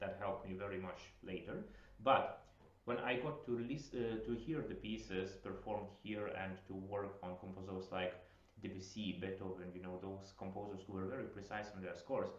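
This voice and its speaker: In a Lithuanian accent, a man talks at a fairly low pitch and a moderate pace with ordinary pitch variation, amid noticeable background noise and audible room echo. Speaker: piano teacher. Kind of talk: masterclass instruction. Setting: video call.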